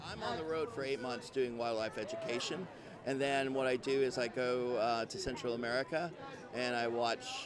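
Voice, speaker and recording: Amid noticeable background noise, a man speaks at a medium pitch and a moderate pace with fairly even intonation. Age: 60s. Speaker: wildlife educator. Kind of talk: interview.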